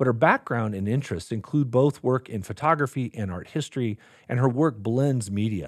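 An ordinary speaking voice from a man at a medium pitch, with lively intonation at a fairly quick pace, in a very clean recording with a silent background and a dry, close sound with no echo. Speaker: podcast host and graduate school dean. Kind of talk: interview.

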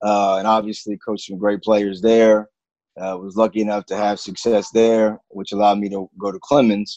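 In a plain, everyday voice, a man with an American accent speaks at a moderate pace and fairly low pitch with fairly even intonation, the sound dry and close with no echo. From Texas, military kid raised on bases. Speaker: basketball coach. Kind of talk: casual chat.

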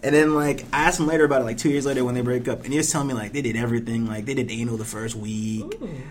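A man's medium-pitched voice with an American accent, very fast pace and ordinary pitch variation. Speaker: podcast co-host, college student. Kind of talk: casual comedic banter. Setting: library. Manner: profane, jokey.

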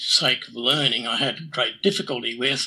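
A man is speaking. He has an Australian accent. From New South Wales, Australia. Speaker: amateur radio astronomer. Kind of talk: interview.

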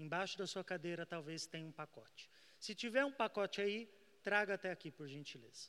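A man speaks in a high voice with a bright, sharp tone and ordinary pitch variation. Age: 20s. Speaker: evangelist preacher. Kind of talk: sermon.

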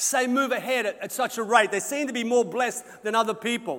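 The speaker has an Australian accent and talks at a fairly quick pace. The pitch varies in an ordinary way. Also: man. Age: 60s. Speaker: senior pastor. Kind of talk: sermon.

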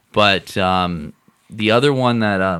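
A man with a normal speaking voice, fairly low pitch and ordinary pitch variation. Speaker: podcast co-host. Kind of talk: casual chat.

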